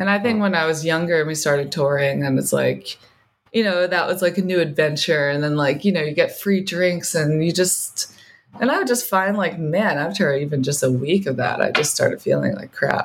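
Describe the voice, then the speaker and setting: A woman with an American accent and a plain, everyday voice talks at a fairly quick pace, her pitch fairly low with ordinary pitch variation. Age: 30s. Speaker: singer and guitarist. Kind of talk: casual interview.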